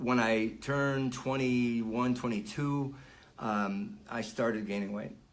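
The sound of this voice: A man's medium-pitched voice at a slow pace, fairly even in intonation, with audible room echo.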